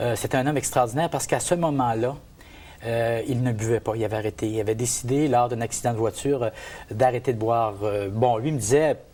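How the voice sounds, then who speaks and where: At a fairly quick pace, a man talks at medium pitch with fairly even intonation. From Gaspésie, Quebec. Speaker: men's group participant. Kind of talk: testimony. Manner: halting.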